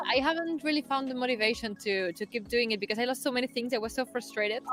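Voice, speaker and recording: A woman with a non-native accent speaks at a very fast pace in a high pitch, with ordinary pitch variation. Her loudness is very even, and there is noticeable background noise. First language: not English. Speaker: football show host. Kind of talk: live stream chat. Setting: stadium.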